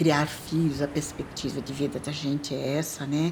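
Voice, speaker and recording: Her pitch is very deep and low. This woman's intonation stays monotone and flat. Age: 70s. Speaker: documentary interviewee. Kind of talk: documentary interview.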